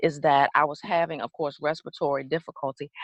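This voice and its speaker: A woman with an American accent speaks in an animated tone at a moderate pace, the sound dry and close with no echo. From US South (Georgia). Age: 40s. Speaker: guest sharing life story. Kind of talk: interview testimony.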